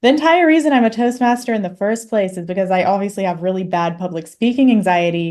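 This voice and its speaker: A woman with an ordinary speaking voice talks fairly quickly at medium pitch, her intonation lively. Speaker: podcast host. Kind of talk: interview.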